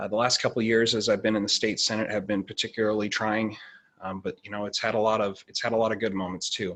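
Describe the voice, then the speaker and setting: A man with an American accent talks at a very fast pace. His pitch is fairly low. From Oregon, Douglas County. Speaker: state senator candidate. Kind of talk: candidate forum opening statement. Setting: video call. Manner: halting.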